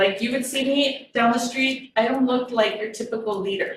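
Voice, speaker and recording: Her pitch fairly high and her intonation fairly even, a woman speaks in a room with audible echo. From Texas, Rio Grande Valley. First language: Spanish. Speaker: therapist and motivational speaker. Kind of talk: talk to an audience.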